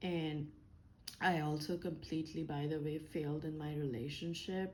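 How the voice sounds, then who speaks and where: Audible room echo surrounds a woman's very deep, low voice, her intonation fairly even. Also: moderate pace. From India. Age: 30s. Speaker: engineer and vlogger. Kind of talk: personal vlog monologue. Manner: hesitant, many fillers.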